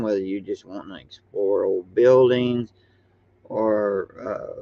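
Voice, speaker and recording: His pace is fairly slow. The man's voice sits at a medium pitch. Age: 60s. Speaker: YouTuber. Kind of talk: casual monologue. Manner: halting, many fillers.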